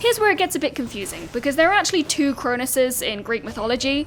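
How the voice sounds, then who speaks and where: Over noticeable background noise, a woman speaks in a high pitch with very wide pitch swings. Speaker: gaming content creator. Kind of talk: video essay voiceover. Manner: fast; stiff.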